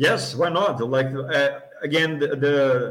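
Speaking at a fairly slow pace, a man with a Portuguese accent holds a medium pitch and fairly even intonation. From Brazil. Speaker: sports event organizer. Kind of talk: podcast interview.

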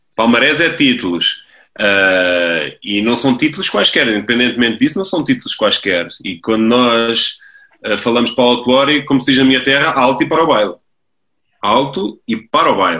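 Speaking at a moderate pace with a European Portuguese accent, a man uses lively intonation, a medium pitch and a bright, sharp tone. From Portugal, Lisbon. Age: 30s. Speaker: football coach. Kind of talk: interview. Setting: video call. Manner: halting, many repetitions.

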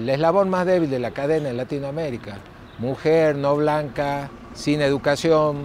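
Noticeable background noise accompanies a man whose fairly high voice moves at a moderate pace. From northern Argentina. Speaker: lawyer and community activist. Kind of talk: interview testimony.

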